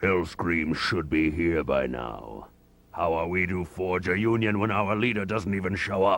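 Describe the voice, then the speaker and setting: Pitched very deep and low, a man performs a put-on character voice. His delivery keeps a moderate speed. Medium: video game. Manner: blunt, gruff.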